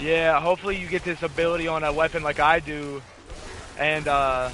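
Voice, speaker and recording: A man with an American accent talks at a fairly quick pace in a fairly high pitch and a monotone, flat intonation, the sound dry with no echo over light background noise. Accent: faint country. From Southeast Missouri, US. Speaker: gaming streamer. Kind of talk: casual gameplay chat. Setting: live stream. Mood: relaxed, joking. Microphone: headset.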